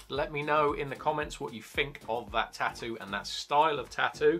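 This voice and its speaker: Faint music sits in the background as a man speaks at a moderate pace. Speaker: tattoo artist vlogger. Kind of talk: casual vlog chat. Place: home room.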